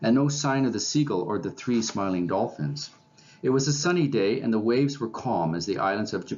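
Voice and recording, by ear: The intonation here is lively. A text is read aloud in a natural voice.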